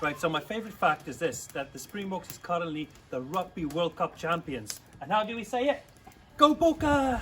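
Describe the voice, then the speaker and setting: A man's high-pitched voice at a moderate pace, with very wide pitch swings and noticeable background noise. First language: Afrikaans. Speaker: church youth leader. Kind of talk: video for children. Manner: friendly, teaching.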